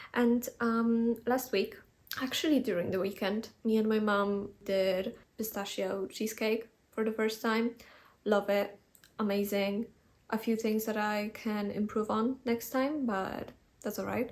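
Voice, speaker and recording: A woman speaks with a non-native accent at a fairly slow pace. Her pitch is fairly high, and her intonation is fairly even. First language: not English. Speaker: lifestyle vlogger. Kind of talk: casual vlog talk. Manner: relaxed, conversational.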